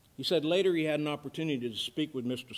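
A man speaks at a very fast pace in a fairly high pitch, with ordinary pitch variation. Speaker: pastor. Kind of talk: sermon. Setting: church. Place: church. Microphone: podium.

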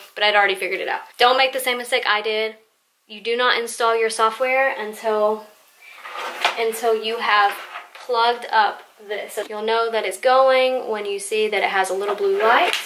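Against noticeable background noise, a woman talks at a moderate pace with fairly even intonation. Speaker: home tutorial maker. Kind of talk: tutorial. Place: home room. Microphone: camera far.

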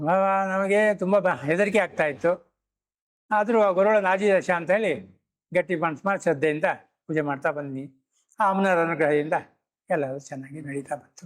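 His loudness swinging widely, a man talks in a high voice with ordinary pitch variation. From Karnataka, Hosanagara taluk (Malnad). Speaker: temple priest. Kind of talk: interview. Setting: on location.

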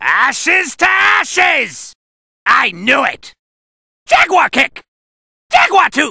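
A put-on character voice shouts at a very slow pace. Long pauses come often. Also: man, extremely high pitch for a man. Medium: dub. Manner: cocky, shouted battle cries.

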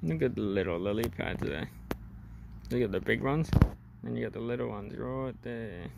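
A man's fairly low voice with very wide pitch swings, a fairly quick pace, long and frequent pauses, a dry sound with no echo, and loud background noise. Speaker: travel vlogger. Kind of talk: casual vlog narration. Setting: outdoors. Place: open country. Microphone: muffled by face mask; phone near.

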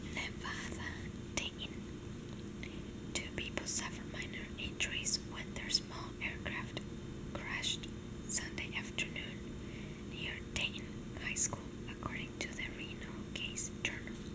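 Fairly slow speech broken by long, frequent pauses, over loud background noise. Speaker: ASMR content creator reading news aloud. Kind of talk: ASMR whisper reading of a newspaper with page flipping and tapping.

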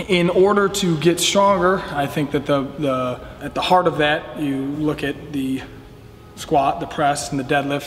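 Music plays in the background. Over it, a man talks with fairly even intonation. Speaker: weightlifting coach. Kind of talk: interview answer. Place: gym.

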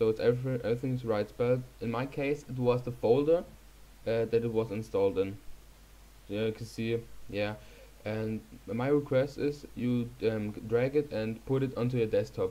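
With a German accent, the speaker talks in fairly even intonation. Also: man, medium pitch for a man, moderate pace. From Germany. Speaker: YouTuber. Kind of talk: tutorial. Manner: hesitant, many fillers.

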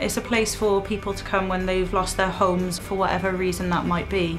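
Over clear music in the background, a woman speaks with monotone, flat intonation. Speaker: hostel support worker. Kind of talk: interview answer. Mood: warm, earnest. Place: office. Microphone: lapel.

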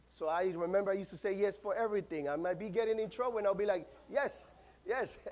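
A man speaks very fast in a Central American Spanish accent, his pitch high. His tone is passionate, with ordinary pitch variation. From Nicaragua. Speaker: pastor. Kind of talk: sermon. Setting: church. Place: church. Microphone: lapel.

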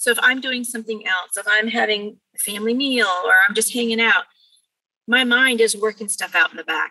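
A woman with a Californian accent speaks at a fairly quick pace in a bright, sharp tone with a fairly high pitch and ordinary pitch variation. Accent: Californian American English. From California, Bakersfield. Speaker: mediator and former philosophy teacher. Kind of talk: interview conversation.

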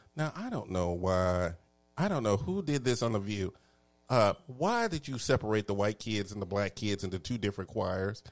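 In a Texan accent, the speaker moves at a moderate pace with ordinary pitch variation, on a very clean recording with a silent background. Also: man. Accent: Texan Southern US. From Texas. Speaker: talk show host. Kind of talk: casual chat. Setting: studio. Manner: animated.

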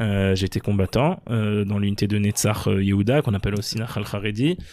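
Using a plain, everyday voice, a man speaks at a fairly low pitch and moderate pace with fairly even intonation, recorded very cleanly against a silent background. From France, Paris suburbs (Sarcelles). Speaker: former member of parliament. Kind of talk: interview.

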